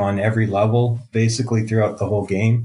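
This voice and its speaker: Somewhat breathy and at a medium pitch, a man speaks with a Canadian accent. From Canada. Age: 50s. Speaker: game developer. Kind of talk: interview.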